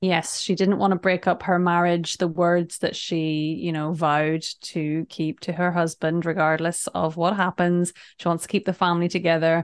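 A woman talks at a fairly low pitch in a flat monotone, with hardly any pauses. The sound is dry and close with no echo, over a quiet background. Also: moderate pace.

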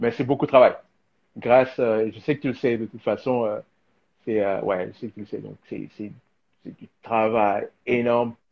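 A man at a medium pitch talks at a moderate pace with fairly even intonation. His speech has long, frequent pauses and big swings in loudness. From DR Congo. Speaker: filmmaker and designer. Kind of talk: live video interview. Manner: halting, many fillers and repetitions.

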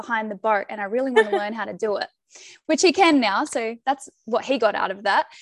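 This woman has an Australian accent and talks at a fairly quick pace with lively intonation. The sound is dry and close, with no echo. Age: 20s. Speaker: podcast guest sharing her love story. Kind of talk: casual interview chat.

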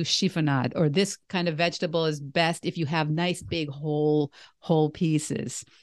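A woman speaks with a normal speaking voice at a fairly low pitch and moderate pace, her intonation fairly even. The sound is dry and close with no echo, over a quiet background. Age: 60s. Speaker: podcast host and vegan coach. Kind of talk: casual interview chat.

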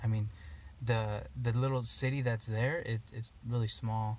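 With an American accent, a man speaks in a somewhat breathy voice and fairly even intonation. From Eastern Oregon. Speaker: outdoor apparel business founder and hunter. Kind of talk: casual chat. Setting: in a parked car.

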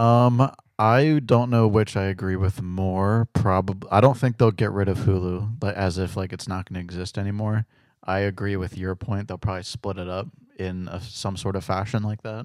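A man with a normal speaking voice talks at a moderate pace and fairly low pitch, his intonation fairly even. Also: very clean recording, silent background. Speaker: podcast co-host. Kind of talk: casual chat. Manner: laid-back, joking.

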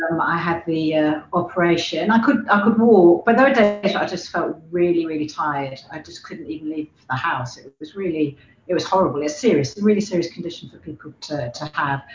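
A woman with a fairly low pitch talks at a fairly quick pace with lively intonation, big swings in loudness and hardly any pauses, over noticeable background noise. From Hampshire, England. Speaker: amateur runner. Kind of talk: casual group interview.

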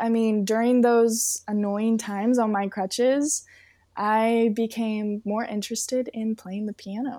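An American accent marks this woman's fairly high, monotone, flat voice, delivered at a fairly slow pace. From Southern California. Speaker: model and singer. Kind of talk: casual interview chat.

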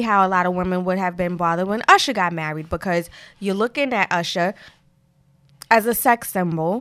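A woman with a Brooklyn accent and a bright, sharp tone at medium pitch speaks with long, frequent pauses. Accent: New York (Brooklyn). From Brooklyn, New York. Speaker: podcast co-host, music fan and former rapper. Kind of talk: casual chat.

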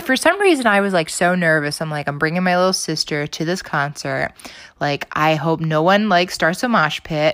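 A woman's fairly low voice with an animated tone, ordinary pitch variation and a moderate pace. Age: 20s. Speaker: podcast host. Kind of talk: casual solo monologue. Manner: animated, with frequent fillers and laughs.

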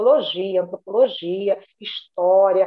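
A woman talks in a medium pitch. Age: 50s. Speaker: retired bank manager. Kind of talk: casual interview.

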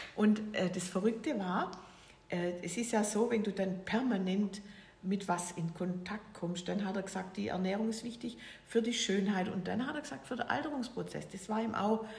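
A woman speaks at a moderate pace and medium pitch with ordinary pitch variation. Noticeable background noise and audible room echo fill the recording. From Swabia, Germany (near Stuttgart). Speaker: author and entrepreneur. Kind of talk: casual interview. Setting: at her home.

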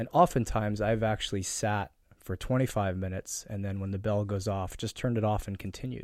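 Hardly pausing, a man with fairly low pitch and fairly even intonation talks in a normal speaking voice. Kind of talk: guided meditation.

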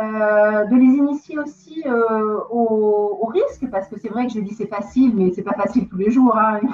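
A woman's fairly high voice with ordinary pitch variation, big swings in loudness, a fairly slow pace, hardly any pauses, and noticeable background noise. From southern France, Marseille. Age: 40s. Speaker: real estate investor. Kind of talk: interview. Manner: halting.

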